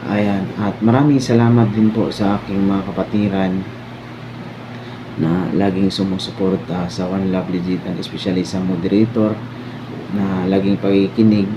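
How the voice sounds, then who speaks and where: Over noticeable background noise and audible room echo, a man speaks at a moderate pace with a fairly low pitch and fairly even intonation. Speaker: online community head moderator. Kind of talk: anniversary thank-you speech.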